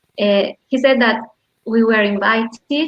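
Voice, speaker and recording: A woman talks very slowly in a fairly high voice whose pitch varies in an ordinary way. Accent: Argentine. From Argentina. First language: Spanish. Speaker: economist, lecturer. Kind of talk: panel talk.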